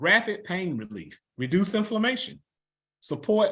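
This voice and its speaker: Speaking at a moderate pace with a Southern US accent, a man uses an animated tone and very wide pitch swings. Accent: Southern US (Georgia). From US South, Newnan, Georgia. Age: 60s. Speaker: network marketing presenter. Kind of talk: sales pitch presentation. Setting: video call.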